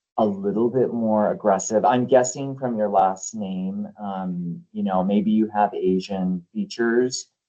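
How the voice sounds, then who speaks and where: Ordinary pitch variation marks this man's unremarkable speaking voice, fairly low in pitch and with an American accent. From US Southwest, New Mexico. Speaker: author and HR expert. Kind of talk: interview Q&A.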